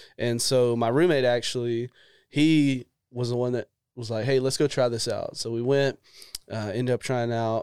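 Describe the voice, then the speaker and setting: A man speaks at a moderate pace in a monotone, flat intonation. The sound is dry and close, with no echo. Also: medium pitch for a man. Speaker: podcast host. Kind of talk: casual interview chat.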